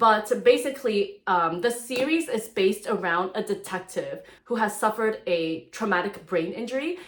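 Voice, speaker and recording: Noticeable noise sits behind speech delivered at a moderate pace. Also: woman. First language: not English (English second language, grew up speaking it). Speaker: book reviewer. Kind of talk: casual book review. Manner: casual, filler-heavy speech.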